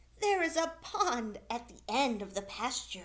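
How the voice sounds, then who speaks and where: Putting on a character voice, a woman speaks at a high pitch and a moderate pace, with very wide pitch swings and big swings in loudness. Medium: read story. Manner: bleating, polite.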